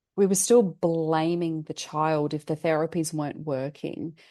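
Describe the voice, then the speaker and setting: A woman with an Australian accent has a very deep, low pitch and a dark, mellow tone. She talks at a moderate pace against a quiet background. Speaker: family therapist and mindset coach. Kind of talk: podcast interview. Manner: hesitant with repetitions.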